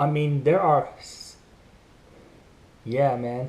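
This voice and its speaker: A man's voice, fairly high in pitch. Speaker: YouTuber commenting on news. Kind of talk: casual vlog commentary. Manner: fast.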